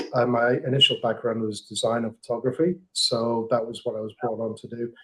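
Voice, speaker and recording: A man speaks in an English accent at a medium pitch. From England. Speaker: marketing manager. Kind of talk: podcast interview.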